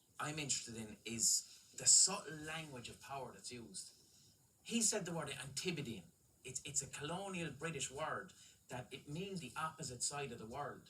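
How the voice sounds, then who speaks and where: In an Irish accent, a man speaks with lively intonation, a bright, sharp tone and big swings in loudness. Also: fairly high pitch for a man, moderate pace. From Ireland. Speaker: comedian. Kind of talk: comedy panel chat.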